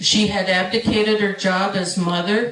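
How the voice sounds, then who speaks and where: A speaker with a Great Lakes accent is heard over noticeable background noise. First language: Ojibwe. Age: 70s. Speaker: residential school survivor, panelist. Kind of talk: panel discussion testimony. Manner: halting.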